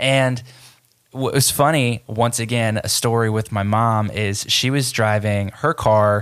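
This man's voice sits at a fairly low pitch with fairly even intonation. He speaks at a fairly slow pace. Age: 30s. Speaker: podcast host. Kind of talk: solo monologue podcast.

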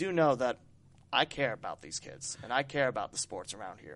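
A man in an Ohio accent, at a fairly quick pace with ordinary pitch variation, against a quiet background. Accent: Ohio Midwestern American. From Dayton, Ohio. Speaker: podcast host and sports broadcaster. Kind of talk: casual interview chat.

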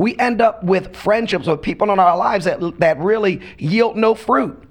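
Noticeable background noise accompanies a man whose high voice moves with lively intonation at a moderate pace. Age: 50s. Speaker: pastor. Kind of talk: casual chat.

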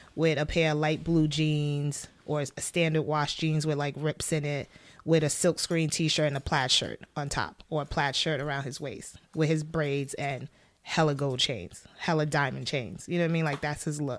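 At a moderate pace, a woman with a New York accent speaks in a very deep, low pitch with fairly even intonation. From Brooklyn, New York. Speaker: wardrobe stylist and costume designer. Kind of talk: casual interview. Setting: studio.

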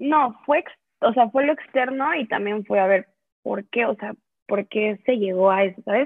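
Lively intonation runs through a plain, everyday voice at a fairly slow pace. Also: woman, fairly high pitch for a woman. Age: 20s. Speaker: business student. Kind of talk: interview.

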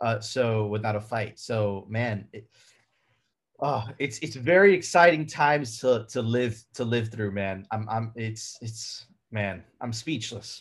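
Speaking very slowly, a man has a somewhat breathy voice. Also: medium pitch for a man, ordinary pitch variation. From Miami, with early childhood in Venezuela. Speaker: YouTube show co-host. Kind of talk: casual interview. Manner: animated, repeats words.

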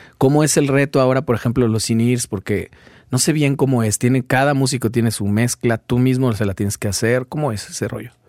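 At a fairly quick pace, a man with an ordinary speaking voice talks at medium pitch with ordinary pitch variation, the sound dry and close with no echo. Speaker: podcast host. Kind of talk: casual interview chat.

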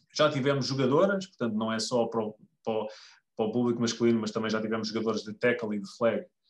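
Speaking at a very fast pace, a man keeps a medium pitch with ordinary variation. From Lisbon, Portugal. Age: 30s. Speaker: American football club member. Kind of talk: podcast interview. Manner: halting, many fillers.

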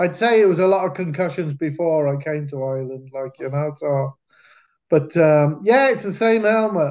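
With a Cardiff accent, a man speaks at a moderate pace and a fairly high pitch. His pitch varies in an ordinary way against a quiet background. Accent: Welsh (Cardiff). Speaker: American football coach and former player. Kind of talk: casual interview storytelling.

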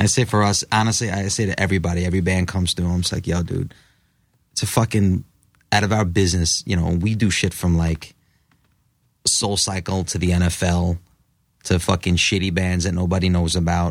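With an American accent, a man speaks in a very deep, low pitch and a flat, monotone delivery, leaving long, frequent pauses. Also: fairly quick pace. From New York. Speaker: rock guitarist. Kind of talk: casual chat. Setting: studio.

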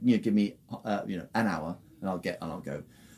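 A man's dark, mellow voice in a British accent, with lively intonation. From England. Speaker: music producer and musician. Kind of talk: interview.

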